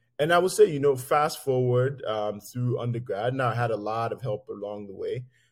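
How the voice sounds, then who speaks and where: Somewhat breathy, a man speaks at a moderate pace with hardly any pauses. The recording is very clean, with a silent background. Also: medium pitch for a man, ordinary pitch variation. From Nigeria. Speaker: physician and healthcare executive. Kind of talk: interview conversation.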